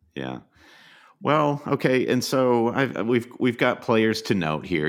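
The man's intonation rises and falls in a lively way. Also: very clean recording, silent background. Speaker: fantasy football podcast co-host. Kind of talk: casual chat.

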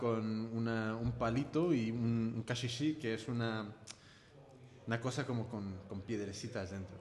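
Medium in pitch, a man speaks at a very slow pace with fairly even intonation. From California, US. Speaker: podcast host. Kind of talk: casual chat. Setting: studio. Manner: halting.

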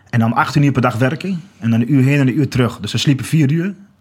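With a somewhat breathy quality, a man talks using ordinary pitch variation. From Achterhoek, Netherlands (Groenlo). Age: 30s. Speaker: walker and commemoration campaigner. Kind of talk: podcast interview. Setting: studio.

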